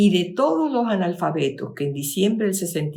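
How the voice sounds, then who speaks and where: A woman speaks at a medium pitch and a fairly quick pace. Her pitch swings very widely. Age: 70s. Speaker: lecturer. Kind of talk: lecture. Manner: halting.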